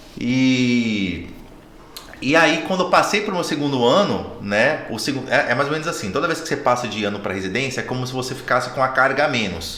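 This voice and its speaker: Amid noticeable background noise and audible room echo, a man with a slight northeastern Brazilian accent speaks fairly quickly at a medium pitch with lively intonation. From Brazil, Natal (Northeast). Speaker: oral and maxillofacial surgeon. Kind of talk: casual chat.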